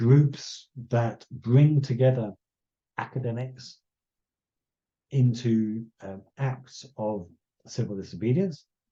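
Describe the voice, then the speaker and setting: A somewhat breathy man at medium pitch speaks in a dark, mellow tone, with ordinary pitch variation, big swings in loudness, and long, frequent pauses. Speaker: conservation scientist. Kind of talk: lecture. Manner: slow; halting.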